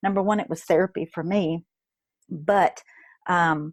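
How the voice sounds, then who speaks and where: In a Kentucky accent, a woman with a medium pitch and ordinary pitch variation speaks in a dry, close sound with no echo, on a very clean recording with a silent background. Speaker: network marketer and blogger, former nurse. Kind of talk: interview. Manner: animated.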